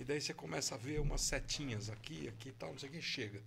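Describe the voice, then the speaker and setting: A man with vocal fry speaks at a fairly quick pace, with audible room echo around him. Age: 60s. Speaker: jiu-jitsu master. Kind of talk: casual interview.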